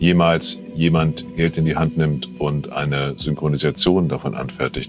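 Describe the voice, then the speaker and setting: This man has a very deep, low pitch and speaks at a fairly slow pace. Clear music plays in the background. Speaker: dialogue director. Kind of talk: interview answer. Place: studio. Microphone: lapel.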